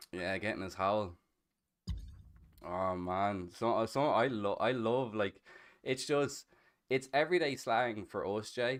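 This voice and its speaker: Against a quiet background, a man with a Dublin accent and a medium-pitched voice talks very slowly with ordinary pitch variation, leaving long, frequent pauses. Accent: Irish (Dublin). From Ireland (Dublin, Castleknock). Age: 30s. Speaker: streamer. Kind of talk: casual chat.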